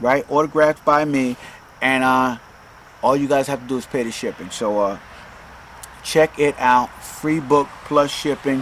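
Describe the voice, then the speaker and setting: The speech moves at a fairly slow pace with long, frequent pauses and fairly even intonation, over noticeable background noise. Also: man, fairly high pitch for a man. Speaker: self-help podcaster and author. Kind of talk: casual monologue podcast. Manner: filler-heavy, repetitive.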